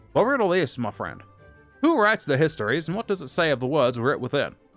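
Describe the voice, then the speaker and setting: A man puts on a character voice, strained and fairly high-pitched, racing at a very fast pace with lively intonation. Faint music plays in the background. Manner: riddling, theatrical.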